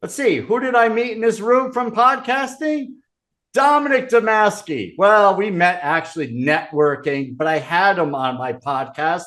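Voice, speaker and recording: Against a quiet background, a man speaks fairly slowly in a high voice with a bright, sharp tone and very wide pitch swings. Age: 60s. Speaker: podcaster and conference speaker. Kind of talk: motivational talk.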